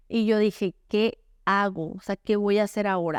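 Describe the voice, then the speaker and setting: A woman with a Sonoran accent speaks in an animated tone on a very clean recording with a silent background. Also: dry, close sound with no echo. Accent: Sonoran Mexican Spanish, somewhat blunt. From Sonora, northern Mexico. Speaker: author. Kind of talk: podcast interview.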